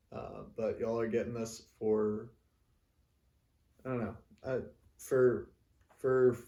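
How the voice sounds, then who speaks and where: The voice has a dark, mellow tone, somewhat breathy, moving at a fairly slow pace with monotone, flat intonation. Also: man. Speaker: singer-songwriter. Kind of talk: casual talk to camera. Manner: halting, many pauses and fillers.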